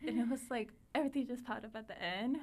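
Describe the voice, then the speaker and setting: A woman with a Spanish accent. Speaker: teacher. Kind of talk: interview. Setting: podcast recording.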